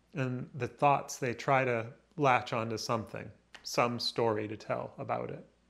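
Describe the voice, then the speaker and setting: Vocal fry runs through a man's medium-pitched voice as he talks at a fairly slow pace with fairly even intonation. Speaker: vlogger. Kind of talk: solo reflective vlog, stream-of-consciousness narration. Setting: rain outside, recording alone on a device. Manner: halting, rambling, with pauses and self-observation; reflective, introspective.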